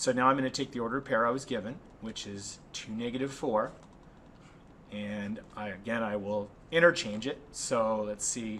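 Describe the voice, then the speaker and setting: A man speaks at a moderate pace in a medium pitch, with ordinary pitch variation, an unremarkable speaking voice, and big swings in loudness. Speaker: math teacher. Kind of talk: tutorial.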